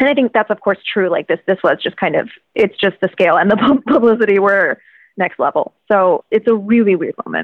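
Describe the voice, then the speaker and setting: A woman with an American accent and a normal speaking voice talks at a fairly quick pace, her medium pitch showing ordinary variation. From Virginia, US. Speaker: financial journalist and author. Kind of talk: interview conversation.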